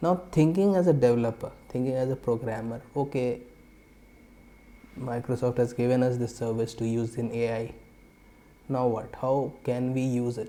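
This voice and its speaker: A man speaks at medium pitch in a dark, mellow tone with ordinary pitch variation. His pace is moderate, with long, frequent pauses. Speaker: software developer, tech tutorial creator. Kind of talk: tutorial. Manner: hesitant, many fillers.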